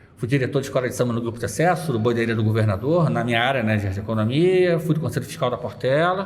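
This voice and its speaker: Audible room echo surrounds a man with a medium pitch and a somewhat breathy voice, whose pitch varies in an ordinary way. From Rio de Janeiro suburbs, Brazil. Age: 40s. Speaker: carnival blogger and economist. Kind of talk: interview.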